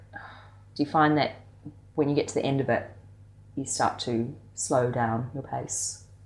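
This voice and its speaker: Speaking with an Australian accent, a woman goes at a fairly slow pace with ordinary pitch variation. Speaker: freelance string player. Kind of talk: interview.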